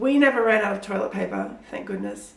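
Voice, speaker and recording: A woman with an Australian accent at a fairly quick pace, with audible room echo and noticeable background noise. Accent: sounds kind of Australian. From Pakistan. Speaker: children's author. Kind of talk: interview answers. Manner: animated.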